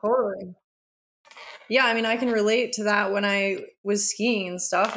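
A woman's plain, everyday voice with an American accent, at a moderate pace and with fairly even intonation. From Aspen, Colorado, US. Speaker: nutritionist and former pro freeskier. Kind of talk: casual chat.

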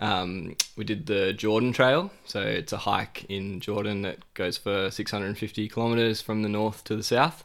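A man talks at a moderate pace with hardly any pauses, his pitch fairly low and its variation ordinary. It is a plain, everyday voice on a very clean recording with a silent background. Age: 20s. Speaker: hiker and traveller. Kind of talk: casual interview.

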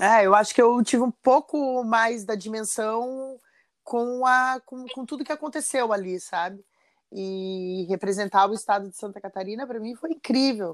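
In a normal speaking voice with ordinary pitch variation, the speaker goes at a moderate pace with big swings in loudness, all on a very clean recording with a silent background. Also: woman, fairly high pitch for a woman. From Brazil, São José dos Campos, São Paulo state. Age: 40s. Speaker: chef. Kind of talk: casual interview.

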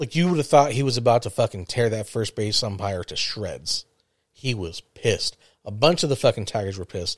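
Somewhat breathy and at medium pitch, a man talks at a fairly quick pace with lively intonation, recorded dry and close with no echo, very clean against a silent background. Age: 40s. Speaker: podcast host. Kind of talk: casual chat.

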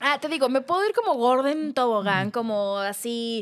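A woman talks fairly slowly, her high-pitched voice carrying lively intonation. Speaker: podcast co-host. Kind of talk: casual chat.

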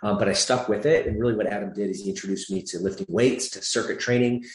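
A man at a very fast pace with ordinary pitch variation and audible room echo. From US Midwest (Michigan), born in Atlanta, Georgia. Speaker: fitness franchise CEO. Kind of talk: interview.

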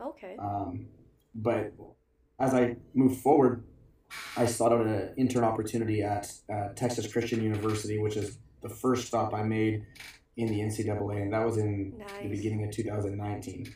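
A man's fairly low, somewhat breathy voice with a dark, mellow tone, monotone intonation and a Canadian accent, with audible room echo. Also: moderate pace. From Alberta, Canada. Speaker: strength coach. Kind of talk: casual interview.

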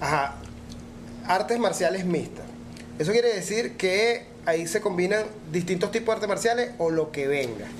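With a Venezuelan accent, a man with a high voice speaks at a moderate pace with lively intonation, very even loudness and long, frequent pauses, and audible room echo. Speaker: podcast host. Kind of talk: casual chat.

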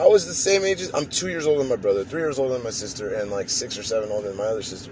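A man at a very fast pace with very wide pitch swings over noticeable background noise. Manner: informal, rambling, profane.

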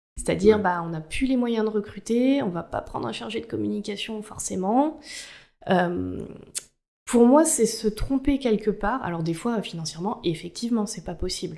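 A woman's fairly high pitch with a dark, mellow tone and lively intonation, at a moderate pace, on a very clean recording with a silent background. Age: 20s. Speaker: corporate communications officer. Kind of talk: interview.

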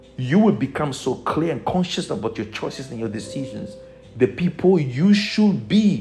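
Over noticeable background noise, a man talks at a moderate pace in an animated tone with very wide pitch swings. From Togo. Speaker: spiritual teacher. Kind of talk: motivational teaching.

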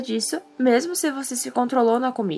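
A woman with a plain, everyday voice talks at a moderate pace, her pitch fairly high. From southern Brazil, Rio Grande do Sul. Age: young. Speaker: podcast host, journalism student. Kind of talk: scripted narration.

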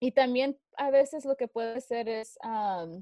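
The tone is dark and mellow as a woman talks. Pitch variation stays ordinary. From Fresno, California. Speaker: DJ and activist. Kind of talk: interview.

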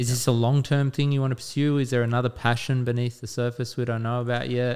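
This man has an Australian accent and talks at a very fast pace. His intonation is monotone and flat, and his loudness stays very even. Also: medium pitch for a man. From Western Sydney, Australia. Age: 30s. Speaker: podcast co-host. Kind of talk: casual chat.

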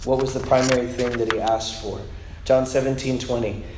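A man at medium pitch and moderate pace, with audible room echo and noticeable background noise. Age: 30s. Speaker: preacher. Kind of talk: sermon.

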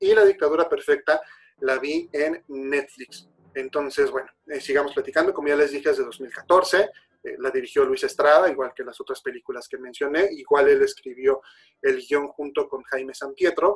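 Loudness swings in big ways. A man talks at a moderate pace. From Mexico. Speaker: podcast host, film commentator. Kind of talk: casual solo talk show.

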